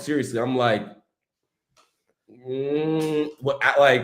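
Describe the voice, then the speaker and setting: A fairly high-pitched man with an American accent, animated in tone, with audible room echo. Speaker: football fan channel host. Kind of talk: casual chat. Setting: live stream.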